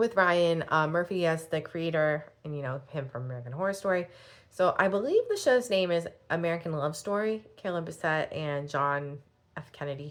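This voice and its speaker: Against a quiet background, a woman talks at a fairly quick pace in a fairly low pitch with ordinary pitch variation. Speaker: fashion blogger and YouTuber. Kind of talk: casual vlog. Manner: fast; chatty, filler-heavy.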